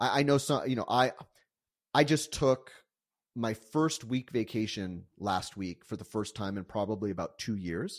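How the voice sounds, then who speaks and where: In a very clean recording with a silent background, a man with an American accent talks at a moderate pace in a medium pitch with lively intonation. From United States. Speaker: bookkeeping firm co-owner. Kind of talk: interview. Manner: halting, many fillers.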